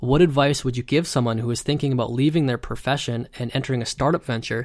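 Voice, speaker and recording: A man talks at a medium pitch with fairly even intonation in an unremarkable speaking voice. The recording is very clean, with a silent background. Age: 30s. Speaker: podcast host. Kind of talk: solo monologue. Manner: rambling with many fillers.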